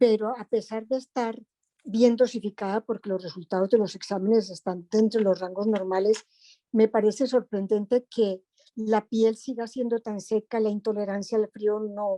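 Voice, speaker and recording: Dry and close with no echo, the voice has a dark, mellow tone and a monotone, flat intonation at a moderate pace. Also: woman. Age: 70s. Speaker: patient asking a question. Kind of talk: audience question.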